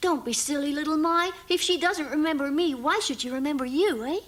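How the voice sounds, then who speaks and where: Cartoonish character voice, high in pitch and at a fairly quick pace. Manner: polite, soothing.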